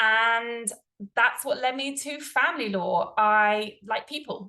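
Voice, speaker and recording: A woman with a British accent speaks at a fairly high pitch. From England, London. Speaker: family lawyer. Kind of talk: presentation. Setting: online presentation with screen share.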